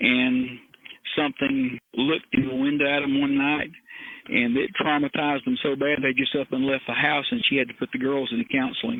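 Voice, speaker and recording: In a Southern US accent, a man talks at a moderate pace with fairly high pitch, ordinary pitch variation and very even loudness. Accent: Southern US (Georgia). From US South, north Georgia. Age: 60s. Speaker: retired criminal investigator and helicopter pilot. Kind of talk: interview, personal storytelling. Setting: remote interview from his backyard.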